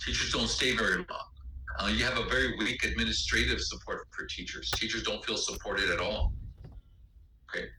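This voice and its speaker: A man talks at a fairly quick pace, with long, frequent pauses. Noticeable background noise and audible room echo fill the recording. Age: 60s. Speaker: lecturer / instructor. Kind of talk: lecture. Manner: halting, many fillers.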